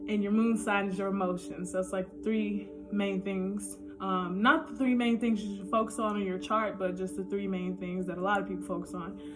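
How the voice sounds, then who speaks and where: Music plays behind a woman speaking at a moderate pace. Audible room echo surrounds her voice. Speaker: astrology vlogger. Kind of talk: casual talking-head monologue. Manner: casual, hesitant with many ums.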